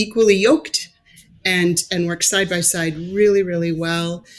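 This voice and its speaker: In a plain, everyday voice, a woman speaks at a fairly slow pace with a fairly low pitch and fairly even intonation. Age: 50s. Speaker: pastor. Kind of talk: interview conversation.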